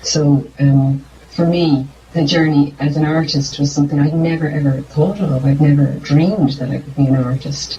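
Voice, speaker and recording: A woman with an Irish accent speaks at a moderate pace in a very deep, low voice with monotone, flat intonation, over noticeable background noise. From Ireland. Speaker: singer-songwriter. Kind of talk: interview. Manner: halting.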